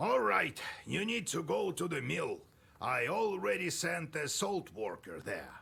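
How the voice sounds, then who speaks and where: A put-on character voice at a fairly slow pace. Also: man, high pitch for a man. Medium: video game.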